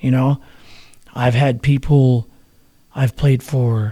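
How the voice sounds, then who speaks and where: Slowly, at a very slow pace, a man with an American accent speaks at a medium pitch, somewhat breathy and with a dark, mellow tone. The intonation is fairly even, and the sound is dry and close with no echo. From New Mexico. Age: 60s. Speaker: musician. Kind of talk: interview. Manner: casual.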